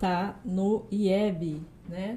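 A woman's medium-pitched voice sounds dark, mellow and somewhat breathy, with monotone, flat intonation. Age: young. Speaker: historian and teacher, podcast co-host. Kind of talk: casual live chat. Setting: studio, live stream.

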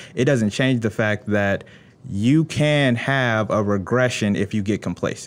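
A man with an American accent and an ordinary speaking voice talks at medium pitch and a fairly slow pace. His loudness stays very even, with ordinary pitch variation. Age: 20s. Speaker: attorney and engineer. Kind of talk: interview. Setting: studio.

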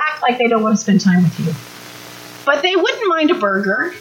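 A high-pitched woman's voice swings very widely in pitch as noticeable noise runs behind it. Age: 50s. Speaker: parenting workshop speaker. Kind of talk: workshop talk.

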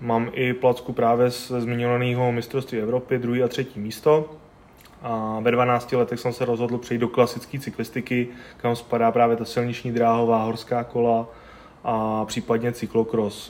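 A man speaks in a monotone, flat way. His pitch sits in the medium range. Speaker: CrossFit athlete and coach. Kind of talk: interview.

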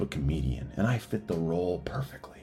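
A man's dark, mellow voice with vocal fry, very wide pitch swings and a fairly quick pace. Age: 40s. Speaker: business owner and writer in recovery. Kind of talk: reading aloud a personal essay.

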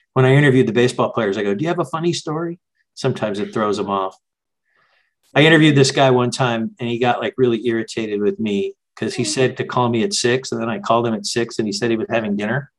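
A man with an American accent speaks at a very fast pace, medium in pitch, with lively intonation. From Southern California, La Canada Pasadena area. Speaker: artist and journalist. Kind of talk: interview conversation. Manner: halting.

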